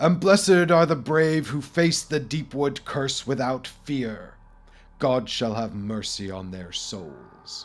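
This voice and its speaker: Putting on a booming character voice, a man speaks fairly slowly at a medium pitch, with very wide pitch swings and big swings in loudness. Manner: solemn, preaching.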